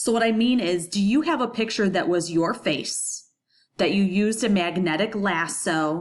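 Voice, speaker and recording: Woman's voice, pitch moving in the usual way. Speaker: high school graphic design teacher. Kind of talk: recorded lesson tutorial. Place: home room. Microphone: webcam.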